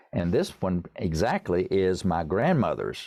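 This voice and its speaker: With an East Tennessee accent, a man talks in a dark, mellow, fairly low voice with lively intonation against a quiet background. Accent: Southern, East Tennessee. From US South, East Tennessee. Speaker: songwriter and pianist. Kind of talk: interview.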